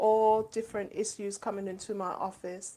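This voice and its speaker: A woman with a London accent speaks at a fairly slow pace. Her intonation is monotone and flat. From London, England. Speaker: children's author and school administrator. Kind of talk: interview. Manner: hesitant, many ums.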